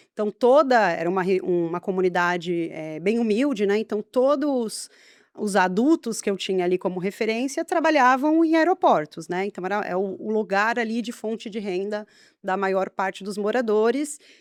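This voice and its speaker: With a São Paulo accent, a woman of medium pitch talks at a moderate pace with lively intonation, her dry, close sound free of echo on a very clean recording with a silent background. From Brazil, São Paulo state (Guarulhos). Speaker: biologist. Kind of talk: podcast interview.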